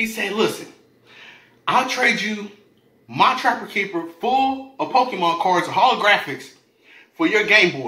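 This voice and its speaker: In a raised, projected voice with a high pitch, a man speaks in an animated tone with long, frequent pauses and audible room echo. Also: lively intonation. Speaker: food YouTuber. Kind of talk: storytelling rant while eating (mukbang). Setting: home video, eating on camera. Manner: animated, profane, rapid-fire slangy storytelling; casual, conversational, addressing viewers directly. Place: home room. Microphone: camera far.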